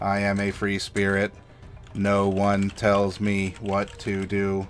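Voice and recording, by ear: Over clear background noise, a man puts on a robotic character voice, fairly low in pitch, flat and monotone, at a fairly slow pace.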